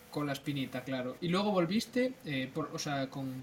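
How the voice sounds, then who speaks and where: A man's fairly high voice with ordinary pitch variation, a fairly slow pace, and noticeable background noise. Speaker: podcast co-host. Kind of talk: casual chat.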